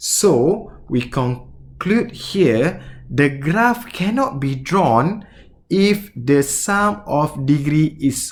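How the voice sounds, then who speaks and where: In a Malaysian accent, a man speaks very slowly at a fairly high pitch, somewhat breathy, with very wide pitch swings and audible room echo. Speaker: mathematics teacher. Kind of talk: lecture. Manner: halting.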